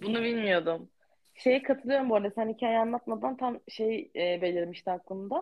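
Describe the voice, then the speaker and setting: A fairly high-pitched woman at a moderate pace, with lively intonation. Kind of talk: casual chat.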